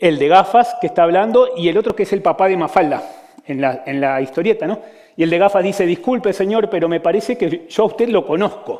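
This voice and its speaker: Ordinary pitch variation and a fairly quick pace in a man's high voice. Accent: Argentine. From Argentina. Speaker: physician giving a talk. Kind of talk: conference talk. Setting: stage with audience.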